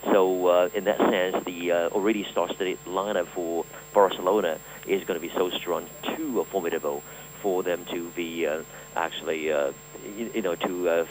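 A man talks at a moderate pace with a very deep, low pitch. His intonation is fairly even over noticeable background noise. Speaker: sports correspondent. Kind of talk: interview. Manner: halting.

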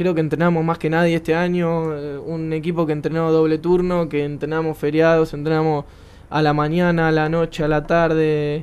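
With a Rioplatense accent, a man speaks at a moderate pace in a fairly high pitch, his intonation monotone and flat. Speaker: futsal player. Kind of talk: interview.

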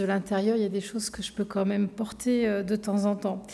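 A woman talks at a fairly quick pace. Her tone is dark and mellow. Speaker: government minister giving a speech. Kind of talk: formal public speech. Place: hall. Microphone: podium.

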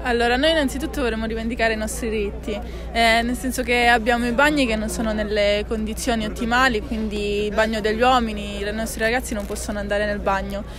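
Clear music plays behind a woman who talks at a very fast pace with hardly any pauses. Her intonation is fairly even, and the sound is dry with no echo. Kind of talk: interview answer. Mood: earnest, assertive. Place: street.

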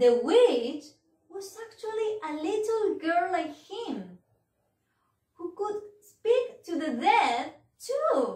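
With long, frequent pauses, a woman speaks very slowly at an extremely high pitch, her voice making very wide pitch swings and big swings in loudness in a room with audible echo but a quiet background. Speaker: teacher. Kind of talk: children's storytelling.

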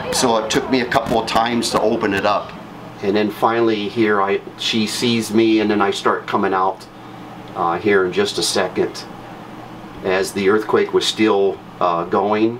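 Monotone, flat intonation at a moderate pace, with light background noise. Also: man, fairly low pitch for a man. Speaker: witness. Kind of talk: interview answer. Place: home room. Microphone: camera far.

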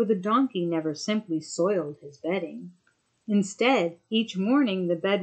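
The background stays quiet. Against it comes a natural reading voice with ordinary pitch variation.

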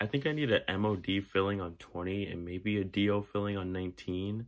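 Fairly even intonation marks a man's speech. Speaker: student vlogger. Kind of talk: casual vlog chat. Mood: relieved, amused.

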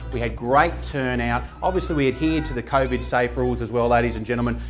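Upbeat in tone, a man talks at a fairly quick pace. Faint music plays in the background. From Australia. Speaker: auctioneer. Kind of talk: casual talk to camera. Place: home room. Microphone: lapel.

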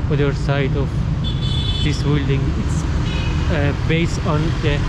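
The speech comes at a fairly slow pace, with a dry sound that has no echo and loud background noise behind it. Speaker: walking tour narrator. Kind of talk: casual vlog chat. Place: street. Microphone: phone near.

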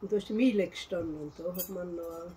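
A woman's fairly low voice at a fairly slow pace, over light background noise. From South Tyrol, Italy. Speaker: farm woman recalling the past. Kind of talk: interview answer. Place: home room.

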